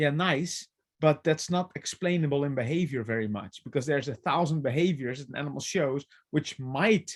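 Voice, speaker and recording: A fairly high-pitched man talks at a fairly quick pace with ordinary pitch variation. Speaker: animal trainer and behavior consultant. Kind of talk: webinar presentation.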